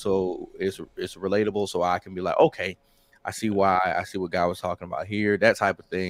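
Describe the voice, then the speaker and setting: With a Southern accent, this voice moves at a fairly quick pace in a flat monotone over a quiet background. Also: man. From US South, Mississippi. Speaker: rapper and military veteran. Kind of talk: interview. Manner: halting.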